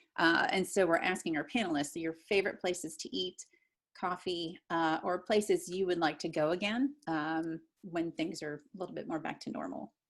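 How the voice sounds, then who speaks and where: A woman's unremarkable speaking voice with an American accent, fairly low in pitch with ordinary variation, at a moderate pace, on a very clean recording with a silent background. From US Midwest (pop region). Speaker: podcast host. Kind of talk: interview.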